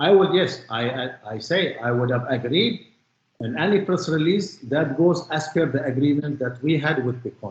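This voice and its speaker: With a non-native accent, a man speaks at a fairly high pitch in a somewhat breathy voice, and his intonation is lively. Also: moderate pace. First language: not English. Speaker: witness in court. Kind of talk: cross-examination testimony.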